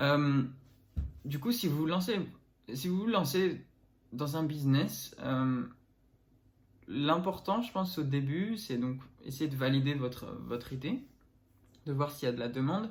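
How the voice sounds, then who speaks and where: This man has a fairly high, somewhat breathy voice with lively intonation, speaking at a fairly slow pace with long, frequent pauses. The room echo is audible. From northern France. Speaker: entrepreneur and vlogger. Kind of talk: casual vlog. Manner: hesitant, many fillers.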